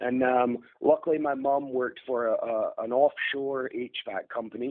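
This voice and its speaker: A man in a northeast Scottish accent, medium pitch, fairly even intonation and a moderate pace. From northeast Scotland, near Aberdeen. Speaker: HVAC technician. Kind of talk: casual interview.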